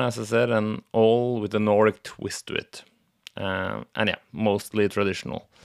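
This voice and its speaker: A man with a Norwegian accent speaks fairly slowly at a fairly low pitch. The recording is very clean, with a silent background and a dry, close sound with no echo. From Norway. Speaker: podcast host. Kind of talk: solo podcast monologue. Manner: halting.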